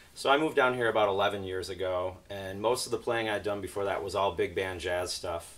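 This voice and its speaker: An unremarkable speaking voice, a man with an American accent talks at a fairly quick pace with hardly any pauses, his fairly low pitch showing ordinary variation. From upstate New York, near Watertown. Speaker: trumpet player. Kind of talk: casual interview.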